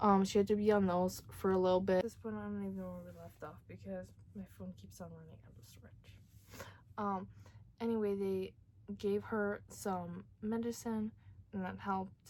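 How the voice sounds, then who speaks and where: Soft-spoken, a woman talks at a moderate pace with big swings in loudness. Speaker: vlogger. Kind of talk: casual chat. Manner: hesitant, many fillers.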